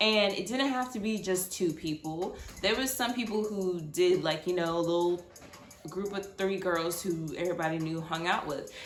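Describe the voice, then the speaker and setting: With audible room echo and noticeable background noise, a woman speaks at a moderate pace and medium pitch, using ordinary pitch variation. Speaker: storytime vlogger. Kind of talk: storytelling monologue. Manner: casual, filler-heavy.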